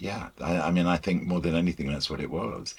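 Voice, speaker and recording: Vocal fry runs through a man's very deep, low-pitched voice. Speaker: broadcaster and music presenter being interviewed about the Beatles. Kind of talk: interview answer.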